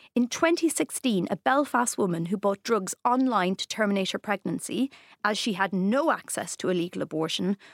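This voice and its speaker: In a very clean, dry, close recording with a silent background and no echo, a woman speaks at a moderate pace and medium pitch with lively intonation, in an ordinary speaking voice. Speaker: comedian and podcast host. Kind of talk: podcast chat and feature intro.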